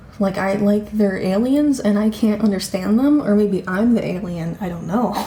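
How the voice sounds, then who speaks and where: Speaking at a moderate pace in a medium pitch with ordinary pitch variation, a woman is heard over noticeable background noise and audible room echo. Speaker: vlogger. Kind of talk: casual vlog monologue. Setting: at home.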